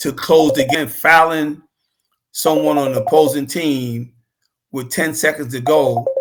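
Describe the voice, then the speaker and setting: With a New York accent, the speaker talks at a very slow pace. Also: man. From New York City (Queens). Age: 70s. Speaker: former basketball player and coach. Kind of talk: casual interview chat.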